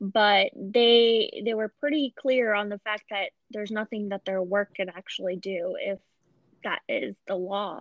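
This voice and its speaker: Speaking at a fairly slow pace, a woman with an American accent has an unremarkable speaking voice, medium pitch and fairly even intonation. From Pakistan, moved to US at 8. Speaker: podcast host. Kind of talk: casual interview.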